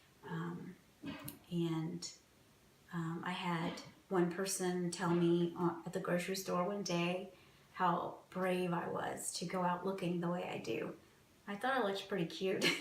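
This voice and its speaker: Her fairly low voice stays monotone and flat, broken by long, frequent pauses. Room echo can be heard, along with noticeable background noise. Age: 40s. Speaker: cancer patient interviewee. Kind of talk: personal testimony interview.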